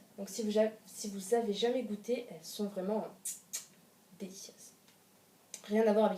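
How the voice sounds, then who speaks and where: Her speech has long, frequent pauses as a woman talks at medium pitch with fairly even intonation. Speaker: youtuber. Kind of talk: casual chat. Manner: fast.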